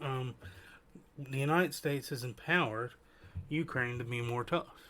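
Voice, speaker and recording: Soft-spoken and in an Appalachian accent, a man talks with a bright, sharp tone at a fairly high pitch with ordinary pitch variation, at a fairly slow pace with long, frequent pauses. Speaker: podcast host. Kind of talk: casual commentary.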